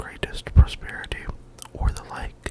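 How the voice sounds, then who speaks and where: Someone is whispering at a moderate pace. Noticeable background noise is present. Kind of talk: ASMR whisper reading of an encyclopedia article. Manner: whispered, close-mic.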